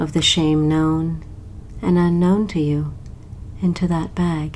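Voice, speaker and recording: Very slow speech at a very even loudness, with monotone, flat intonation. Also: woman, fairly low pitch for a woman. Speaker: hypnotist. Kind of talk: guided hypnosis meditation. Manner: slow, soft-spoken.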